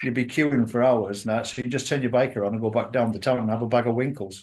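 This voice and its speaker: A man with a Yorkshire accent and medium pitch speaks at a very fast pace. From northern England, Yorkshire coast near Redcar. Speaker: motorcycle traveller. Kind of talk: casual chat.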